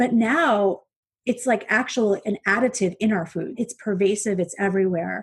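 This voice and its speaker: A woman's medium-pitched, somewhat breathy voice, animated in tone with lively intonation, against a quiet background. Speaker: eating psychology coach. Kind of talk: interview. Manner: fast.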